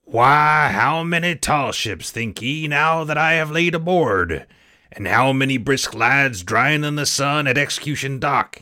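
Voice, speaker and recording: Over a silent background in a very clean recording, a man does a put-on character voice at a fairly slow pace. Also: fairly high pitch for a man. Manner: wheedling, boastful, menacing.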